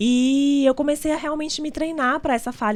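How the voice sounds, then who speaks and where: A woman at a moderate pace. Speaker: entrepreneur and business association leader. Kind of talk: interview.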